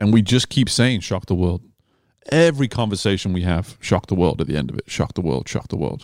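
In a very clean recording with a silent background, a man with a British accent speaks at a fairly quick pace in a very deep, low pitch, with vocal fry and lively intonation. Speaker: swim coach and podcast host. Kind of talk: casual interview conversation. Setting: in person at a cafe.

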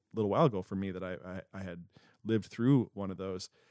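In a normal speaking voice, a man talks at a fairly quick pace with fairly even intonation, the sound dry and close with no echo. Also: very clean recording, silent background. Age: 30s. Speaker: church pastor and podcast host. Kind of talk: casual chat.

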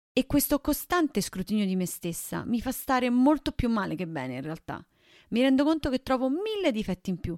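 A woman speaks in a normal speaking voice at a fairly high pitch. She goes at a fairly quick pace on a very clean recording with a silent background. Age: 20s. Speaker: podcast host. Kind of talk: casual chat.

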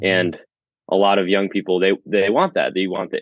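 A man with an American accent has a normal speaking voice and a fairly low pitch. He talks at a fairly quick pace. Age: 20s. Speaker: chiropractic student. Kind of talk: casual interview.

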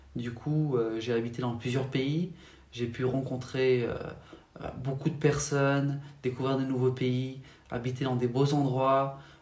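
A man speaks at a medium pitch and a fairly slow pace. His intonation is monotone and flat, with audible room echo. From France, Paris region. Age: 20s. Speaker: faith testimony guest. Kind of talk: testimony. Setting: at home.

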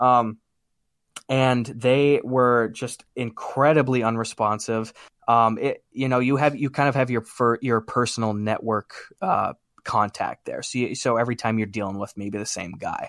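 Speaking with an American accent, a man uses a plain, everyday voice at medium pitch and a moderate pace, his intonation fairly even and the sound dry and close with no echo. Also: very clean recording, silent background. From US Midwest, small-town Wisconsin. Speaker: YouTube comedian. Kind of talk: casual chat.

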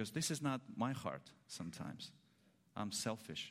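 A man with a Russian accent speaks with vocal fry and very wide pitch swings. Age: 30s. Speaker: preacher. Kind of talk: sermon. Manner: slow; halting.

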